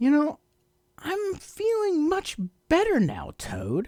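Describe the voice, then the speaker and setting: A man's put-on character voice at an extremely high pitch and a very slow pace. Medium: read story.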